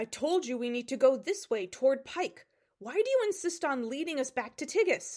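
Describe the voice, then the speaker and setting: A female-sounding voice growls in a put-on character voice with a high pitch. It moves at a moderate pace with very wide pitch swings. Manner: growling through gritted teeth.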